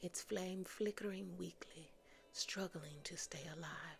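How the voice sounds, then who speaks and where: The speaker is whispering at a very slow pace. She is a woman. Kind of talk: ASMR fantasy origin story. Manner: soft-spoken, whispered.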